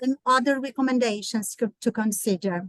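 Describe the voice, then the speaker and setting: Recorded dry and close with no echo, a woman with a Portuguese accent speaks at a fairly high pitch. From Brazil. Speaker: therapist and conference presenter. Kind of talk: conference presentation. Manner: halting.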